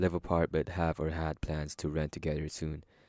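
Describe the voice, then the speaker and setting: On a very clean recording with a silent background, a man with a slight non-native accent speaks at a moderate pace in a very deep, low voice with a dark, mellow tone. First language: not English. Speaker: story narrator. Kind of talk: casual chat; reading aloud. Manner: hesitant.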